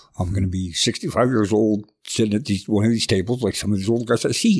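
A western Canadian accent with ordinary pitch variation, in a very clean recording over a silent background. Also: man. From southern Alberta, Canada. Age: 50s. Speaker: artist in recovery. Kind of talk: personal testimony in interview. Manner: halting.

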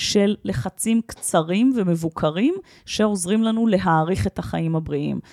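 At a very slow pace, a woman with a medium pitch and dark, mellow tone uses lively intonation, and the sound is dry and close with no echo. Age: 40s. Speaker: health expert and workshop leader. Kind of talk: interview.

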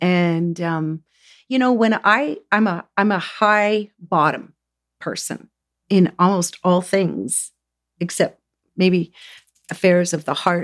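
A woman with a Canadian accent and medium pitch speaks at a very slow pace with long, frequent pauses and ordinary pitch variation. The recording is very clean, with a silent background. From Southern Ontario, Canada. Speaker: energy healer. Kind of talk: casual chat. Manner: halting.

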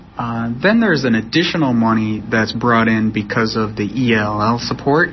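Against noticeable background noise, a man with a medium pitch talks at a fairly quick pace with fairly even intonation. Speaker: professor. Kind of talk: interview.

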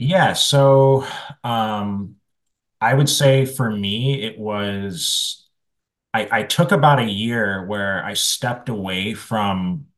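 A man speaks in a normal speaking voice with a fairly low pitch and ordinary pitch variation. The background is quiet. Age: 30s. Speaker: music marketing agency founder. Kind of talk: interview.

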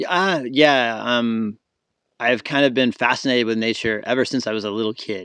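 A bright, sharp tone in an American accent, at a moderate pace with ordinary pitch variation and a quiet background. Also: man, medium pitch for a man. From US South, Florida. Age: 40s. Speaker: wildlife photographer. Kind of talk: casual chat. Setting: outdoors, in the woods.

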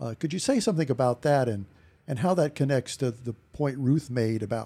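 Moving at a moderate pace, a man speaks in a dark, mellow tone that is somewhat breathy. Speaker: podcast host, retired professor. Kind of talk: podcast interview.

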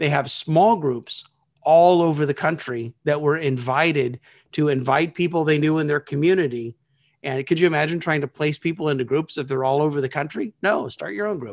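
In a normal speaking voice, a man talks at a fairly quick pace, his pitch fairly high with ordinary variation. The sound is dry and close, with no echo, on a very clean recording with a silent background. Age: 50s. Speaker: small groups consultant. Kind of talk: interview.

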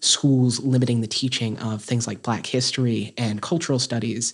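A plain, everyday voice with an American accent moves at a moderate pace with fairly even intonation in a very clean recording with a silent background. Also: man. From North Carolina, Caldwell County. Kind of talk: interview.

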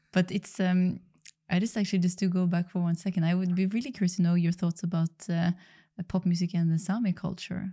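A woman's very fast, somewhat breathy speech, dark and mellow in tone, with very even loudness and a flat, monotone delivery. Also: medium pitch for a woman, very clean recording, silent background. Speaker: podcast host. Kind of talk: interview chat. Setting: studio.

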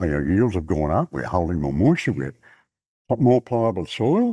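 With a rural Australian accent, a man speaks at a moderate pace in a dark, mellow tone with vocal fry and very wide pitch swings, the sound dry and close with no echo on a very clean recording against a silent background. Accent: broad rural Australian. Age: 70s. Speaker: cotton farmer. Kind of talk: casual chat. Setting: outdoors.

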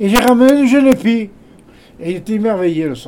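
This man's high voice carries lively intonation. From Hautes-Alpes, France. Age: 90s. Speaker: retired shepherd. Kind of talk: casual chat. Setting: indoors in a cabin.

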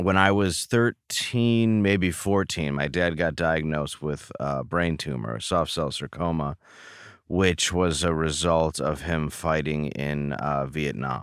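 With a Midwestern American accent, a man talks very slowly in a very deep, low voice with ordinary pitch variation. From Michigan, Detroit area. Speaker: comedian. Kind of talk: interview.

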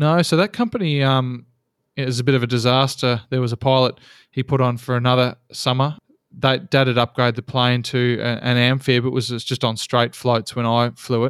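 Fairly quick and in an Australian accent, the speech has fairly even intonation and a dry, close sound with no echo. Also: man, medium pitch for a man, very clean recording, silent background. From Australia, Geelong, Victoria. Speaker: seaplane pilot. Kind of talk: interview.

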